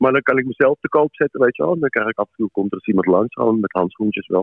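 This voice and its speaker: A man speaks with lively intonation. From Amsterdam, Netherlands. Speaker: musician. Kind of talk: casual chat. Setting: phone call.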